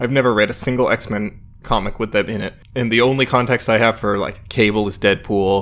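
The speaker talks at a fairly quick pace in a monotone, flat intonation with an American accent, on a very clean recording with a silent background. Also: man, medium pitch for a man. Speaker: podcast co-host. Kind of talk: casual chat.

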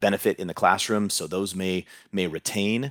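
A man with a Californian accent and a very deep, low voice, recorded dry and close with no echo, very clean against a silent background. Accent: Californian American English. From US West Coast, Southern California (Huntington Beach). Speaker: head of middle school, educator. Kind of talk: interview conversation.

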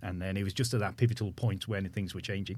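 Somewhat breathy, the voice moves with ordinary pitch variation. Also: man. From Manchester, England. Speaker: company founder. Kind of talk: casual interview.

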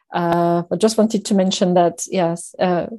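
A woman's dark, mellow voice with a slight French accent, over a quiet background. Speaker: finance executive. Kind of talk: interview. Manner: halting, many fillers.

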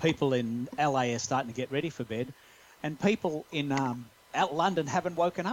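A man with an Australian accent, fairly high pitch, lively intonation and moderate pace. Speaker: podcast guest, social media expert. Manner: conversational, explanatory.

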